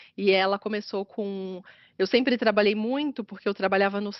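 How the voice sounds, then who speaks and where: A woman speaks at a moderate pace in a medium pitch, with fairly even intonation. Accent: slight carioca. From Atibaia, São Paulo state, Brazil. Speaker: business consultant. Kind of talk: interview conversation.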